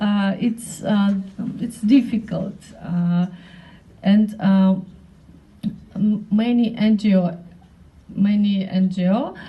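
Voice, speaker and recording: A woman's dark, mellow voice with a non-native accent, medium in pitch, at a very slow pace with long, frequent pauses and fairly even intonation. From North Caucasus. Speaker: women's rights activist. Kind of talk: panel speech. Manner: halting, many hesitations.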